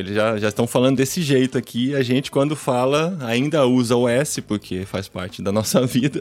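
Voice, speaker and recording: Over noticeable background noise, a medium-pitched man talks at a moderate pace with hardly any pauses and ordinary pitch variation. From Brazil, interior of São Paulo (Piracicaba). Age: 40s. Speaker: podcaster. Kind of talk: interview conversation. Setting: video call live stream from home office. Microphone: studio microphone.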